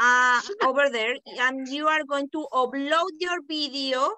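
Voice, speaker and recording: With a raised, projected voice and a bright, sharp tone, a woman with a high pitch speaks at a very slow pace and ordinary pitch variation. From Panama. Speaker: teacher trainer. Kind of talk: online workshop. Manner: smooth.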